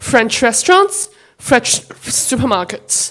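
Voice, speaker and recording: The speaker is a woman. Her pitch is high. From China. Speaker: audience member asking a question. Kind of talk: audience question. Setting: stage with audience.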